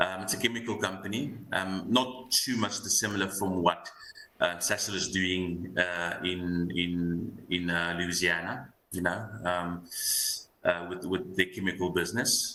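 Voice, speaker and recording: A man with a very deep, low pitch has a bright, sharp tone. He speaks at a moderate pace with fairly even intonation. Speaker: fund manager. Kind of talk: market analysis interview. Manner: halting with many fillers.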